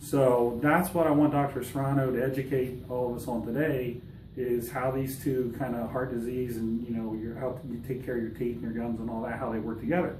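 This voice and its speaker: Fairly even intonation with hardly any pauses, in audible room echo. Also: man, medium pitch for a man, fairly quick pace. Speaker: fitness coach. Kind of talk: casual vlog intro. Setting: dental office.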